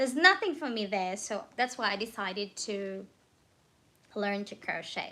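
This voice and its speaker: A woman's fairly high voice, bright and sharp in tone, with a Filipino accent and a moderate pace. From Philippines. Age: 30s. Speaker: crochet content creator. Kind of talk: casual live stream chat. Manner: sleepy, relaxed.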